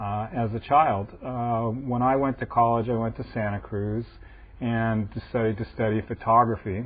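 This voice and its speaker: This man has a plain, everyday voice with an American accent. His pitch sits in the medium range. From US West Coast, Los Angeles. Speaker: antiquarian bookseller. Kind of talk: interview.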